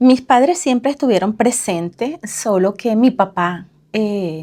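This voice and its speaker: At a fairly slow pace, a woman talks in an ordinary speaking voice with ordinary pitch variation. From Venezuela. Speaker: parenting coach. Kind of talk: casual interview.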